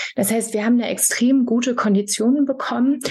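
A woman is speaking with fairly even intonation. Noticeable background noise runs behind her. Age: 30s. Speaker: fashion brand founder. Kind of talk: interview.

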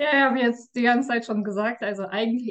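Fairly high-pitched voice of a woman. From Russia. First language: Russian (speaking German). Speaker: tax advisor. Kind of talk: interview. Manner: hesitant, with fillers.

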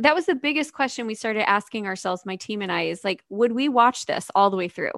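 In a very clean recording with a silent background, a woman with an ordinary speaking voice talks at a fairly high pitch with ordinary pitch variation, the sound dry and close with no echo. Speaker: podcast co-host and YouTuber. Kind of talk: casual podcast conversation.

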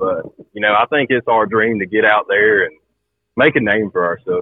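Someone speaks with a Southern US accent at a moderate pace. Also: man. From Georgia, US. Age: 20s. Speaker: farmer and hunter. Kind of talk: casual chat. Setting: phone call.

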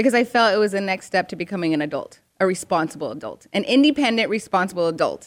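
A woman with an American accent, talking at a very fast pace. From Arizona, US. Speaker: television host. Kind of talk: casual chat.

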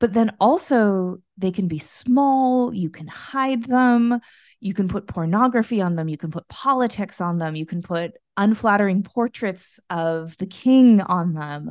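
A woman with an unremarkable speaking voice and an American accent talks at a medium pitch and a fairly slow pace. Her intonation is lively, and the background is quiet. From United States. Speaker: podcast host and gallery director. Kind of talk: casual chat.

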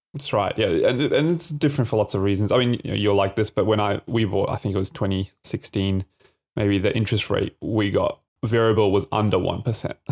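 Fairly quick in pace, a man with an Australian accent speaks at a fairly low pitch, the sound dry and close with no echo. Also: ordinary pitch variation. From Australia, Adelaide. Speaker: podcast co-host. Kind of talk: casual chat.

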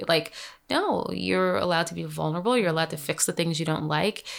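Very fast and very deep, a woman's low-pitched voice carries vocal fry. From Caribbean, Grenadian family. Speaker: dermatologist. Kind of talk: interview.

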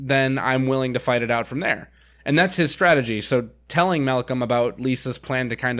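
Here a man speaks at a medium pitch and a moderate pace. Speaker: podcast co-host. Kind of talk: casual chat. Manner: animated.

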